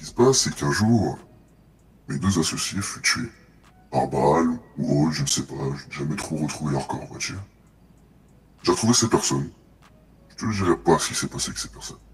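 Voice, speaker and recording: Putting on a character voice, a man speaks very deep and low at a fairly quick pace, broken by long, frequent pauses. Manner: slow, menacing, confiding.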